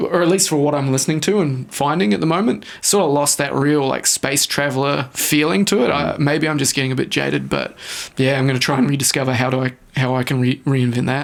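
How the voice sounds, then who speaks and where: The tone is relaxed with ordinary pitch variation, and noticeable background noise sits behind the voice. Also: man, fairly high pitch for a man, fairly quick pace, very even loudness. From New Zealand. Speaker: electronic music producer and production teacher. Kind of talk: radio interview answer. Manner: casual, relaxed.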